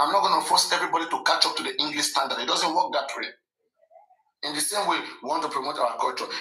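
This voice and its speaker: A man with a Nigerian accent talks at a very fast pace, broken by long, frequent pauses. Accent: Nigerian (Yoruba) English. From Nigeria (Yoruba). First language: Yoruba. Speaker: live stream host. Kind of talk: live stream commentary. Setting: live stream. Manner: animated.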